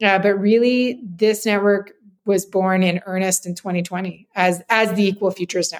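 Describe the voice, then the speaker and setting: A woman with a Canadian accent talks at a moderate pace. Her pitch is medium and her tone is enthusiastic. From Northern Alberta, Canada (Grande Prairie). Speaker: nonprofit CEO. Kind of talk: interview.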